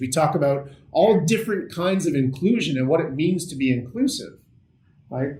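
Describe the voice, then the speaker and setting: Somewhat breathy male speech at a moderate pace, ordinary pitch variation, and audible room echo. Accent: Canadian. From Canada, Ottawa. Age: 40s. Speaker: accessibility consultant. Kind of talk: workshop presentation.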